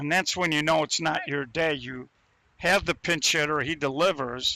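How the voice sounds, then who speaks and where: This man has an unremarkable speaking voice at a fairly high pitch. He keeps a moderate pace and fairly even intonation. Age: 60s. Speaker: sports commentator. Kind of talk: live commentary.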